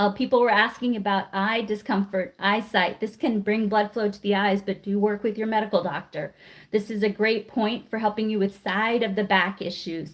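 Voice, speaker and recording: This woman has a plain, everyday voice, medium in pitch, with fairly even intonation. She moves at a moderate pace with hardly any pauses. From Washington DC. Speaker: acupressure teacher. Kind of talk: live class instruction. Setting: livestream.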